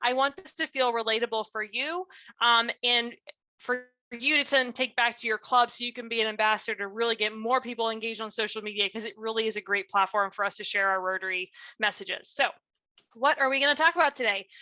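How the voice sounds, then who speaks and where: A woman's fairly high, bright, sharp voice at a very fast pace with ordinary pitch variation, in a dry, close sound with no echo and a quiet background. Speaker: nonprofit director and speaker. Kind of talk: presentation. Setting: video call from home. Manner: animated.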